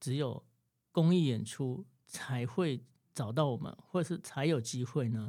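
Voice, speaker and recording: A man at medium pitch with a dark, mellow tone and lively intonation, on a very clean recording with a silent background. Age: 40s. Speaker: saxophonist. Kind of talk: interview.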